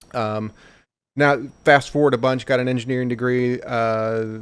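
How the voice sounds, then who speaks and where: With a Midwestern American accent, a man speaks in a monotone, flat intonation at a medium pitch and a moderate pace. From Missouri, St. Louis. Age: 40s. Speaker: leadership school instructor and aerospace engineer. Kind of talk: casual interview chat.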